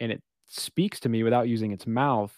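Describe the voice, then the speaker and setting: In a very clean recording with a silent background, a man with a plain, everyday voice and a medium pitch talks at a moderate pace with fairly even intonation, the sound dry and close with no echo. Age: 30s. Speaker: podcast host. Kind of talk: casual chat.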